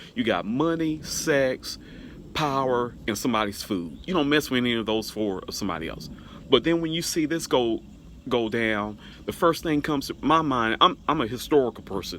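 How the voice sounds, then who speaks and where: A man uses an ordinary speaking voice at medium pitch and a moderate pace, with lively intonation. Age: 50s. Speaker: pastor and vlogger. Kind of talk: casual vlog commentary.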